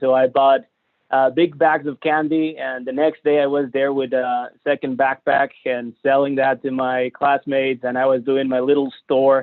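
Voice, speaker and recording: A strong Mexican accent comes through clearly. The pace is moderate. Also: man. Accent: heavy Mexican Spanish. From Mexico, Monterrey. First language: Spanish. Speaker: entrepreneur and business center staff. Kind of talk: webinar presentation. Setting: live-streamed video webinar. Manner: halting, many fillers.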